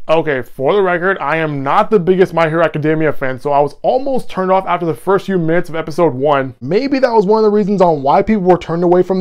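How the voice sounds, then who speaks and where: A man's very fast speech at a high pitch, with ordinary pitch variation, over a quiet background. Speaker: anime reviewer. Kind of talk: casual review commentary. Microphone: lapel.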